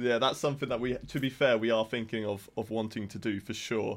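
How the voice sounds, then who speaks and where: Against a quiet background, a man with an English accent speaks very fast at a medium pitch with fairly even intonation. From England. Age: 20s. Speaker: esports content manager. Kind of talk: casual chat. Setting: video call.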